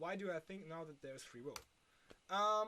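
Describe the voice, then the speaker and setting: A woman with a German accent speaks in a fairly low voice that swings very widely in pitch. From Germany. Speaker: philosophy video creator. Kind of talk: unscripted explainer monologue. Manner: halting, with many fillers.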